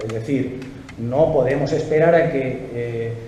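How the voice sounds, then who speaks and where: A man speaks with lively intonation. Audible room echo and noticeable background noise fill the recording. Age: 60s. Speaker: political activist and speaker. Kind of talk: political interview.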